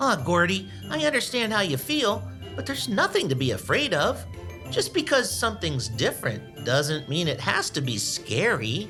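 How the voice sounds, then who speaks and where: A cartoonish character voice at a low-to-middle pitch moves at a moderate pace while clear music plays in the background. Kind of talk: children's puppet show. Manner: gentle, upbeat, encouraging.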